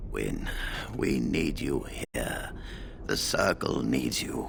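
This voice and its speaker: Over loud background noise, a man puts on a character voice and speaks at a very slow pace. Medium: video game.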